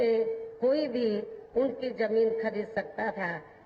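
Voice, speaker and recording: A woman speaks over noticeable background noise. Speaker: politician, national president of a political party, former chief minister. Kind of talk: political rally speech. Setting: outdoor public rally, large crowd.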